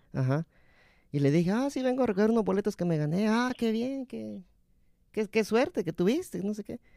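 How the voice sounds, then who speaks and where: This man has a high pitch and a dark, mellow tone, with lively intonation at a fairly quick pace. He leaves long, frequent pauses on a very clean recording with a silent background. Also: dry, close sound with no echo. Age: 30s. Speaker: podcast host. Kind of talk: casual chat.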